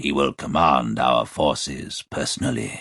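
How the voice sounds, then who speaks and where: Recorded with a dry, close sound and no echo over a quiet background, a man performs a put-on character voice. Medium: read story. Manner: formal, authoritative.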